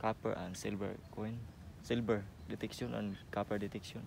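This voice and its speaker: A man with vocal fry speaks at a fairly low pitch and a moderate pace in monotone, flat intonation, with a dry sound with no echo and light background noise. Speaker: interviewee. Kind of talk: interview answer. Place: forest.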